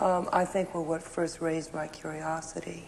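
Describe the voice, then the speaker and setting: A woman with an American accent and a very deep, low pitch, speaking at a fairly slow pace amid noticeable background noise. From Houston, Texas. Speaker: political commentator and author. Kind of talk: interview answer.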